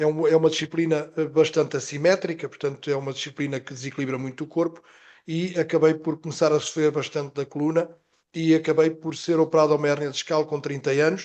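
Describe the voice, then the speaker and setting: A man's fairly high, monotone voice with flat intonation, at a very fast pace. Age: 60s. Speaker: health professional, product presenter. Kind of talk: testimony.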